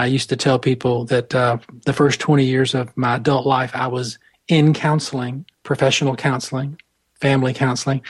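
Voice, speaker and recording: A man with an American accent speaks at a moderate pace and medium pitch, somewhat breathy, his intonation flat and monotone. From US South, Atlanta. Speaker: spiritual director and mentor. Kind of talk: interview. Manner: halting.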